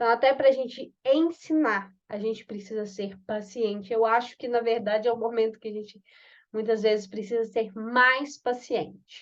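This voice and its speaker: Against a quiet background, a woman talks at a moderate pace. She has a normal speaking voice with a fairly high pitch. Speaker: course facilitator. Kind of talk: online class.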